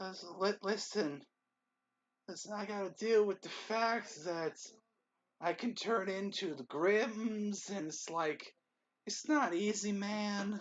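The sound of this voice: In a put-on character voice with fairly high pitch, the speaker goes at a fairly slow pace with long, frequent pauses.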